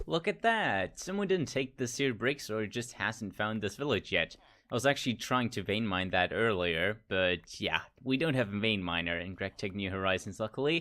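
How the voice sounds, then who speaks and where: Here a man talks with an American accent at a moderate pace. His fairly low voice has lively intonation. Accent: switches between American and British. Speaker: gaming youtuber. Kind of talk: gameplay commentary. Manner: casual, thinking aloud.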